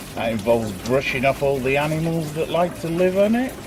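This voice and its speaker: A man with a slight northern English accent and lively intonation at a moderate pace, amid noticeable background noise and audible room echo. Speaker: DIY hobbyist vlogger. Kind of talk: casual tutorial. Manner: chatty, offhand.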